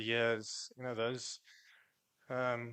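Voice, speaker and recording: A man with a South African accent speaks at a fairly slow pace in a medium pitch, his tone bright and sharp, the sound dry and close with no echo. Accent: South African (Afrikaans). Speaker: cricketer. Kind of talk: press conference. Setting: press conference room.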